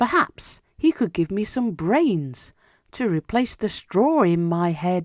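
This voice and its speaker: A put-on character voice in a middle pitch comes at a fairly slow pace. The recording is very clean, with a silent background. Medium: read story.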